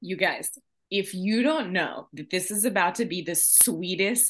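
A woman talks in an animated tone with lively intonation. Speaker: podcast host. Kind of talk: casual chat.

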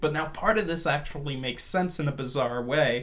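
With an American accent, a man uses an unremarkable speaking voice, fairly high in pitch, with ordinary pitch variation. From Washington DC, US, moving often with yearly trips to Portugal. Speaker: filmmaker. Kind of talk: casual interview chat.

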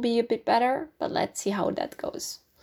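A woman speaks at a moderate pace with a Dutch accent. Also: very clean recording, silent background. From Netherlands, near Amsterdam. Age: 20s. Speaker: podcast host. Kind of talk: casual monologue. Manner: hesitant, many fillers.

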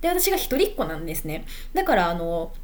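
With very wide pitch swings, a woman speaks at a moderate pace amid audible room echo. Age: 20s. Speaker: podcaster. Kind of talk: casual monologue. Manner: unscripted, hesitant.

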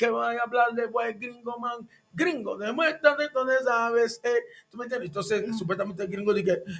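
A man talks at a moderate pace with an extremely high voice. His intonation is fairly even. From Panama, former Canal Zone. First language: English (speaking Spanish). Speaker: tropical urban music singer. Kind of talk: casual interview chat. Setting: radio studio.

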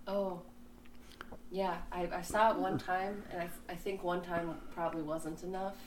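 Against noticeable background noise, a woman with a fairly low pitch speaks at a fairly slow pace. Her intonation is fairly even, with long, frequent pauses. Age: 20s. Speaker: artist. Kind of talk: casual interview chat.

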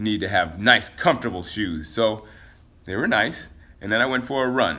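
A man with an unremarkable speaking voice and a fairly low pitch speaks at a moderate pace, with lively intonation and big swings in loudness. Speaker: podcast host and fitness trainer. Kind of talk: casual solo podcast monologue. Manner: casual, chatty, laughs often.

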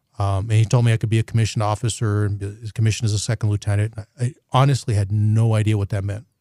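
A man with an American accent speaks at a very fast pace with hardly any pauses, his intonation monotone and flat. His tone is dark, mellow and somewhat breathy, with a dry, close sound and no echo. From New Mexico, US Southwest. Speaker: military general. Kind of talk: podcast interview. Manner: halting, frequent fillers and repeated words.

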